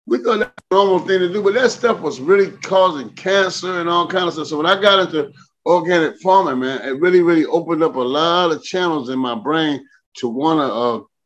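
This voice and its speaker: A man speaks in an animated tone at a fairly quick pace. His high pitch rises and falls with lively intonation. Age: 60s. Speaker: farmer. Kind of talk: interview. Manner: halting, repeats words.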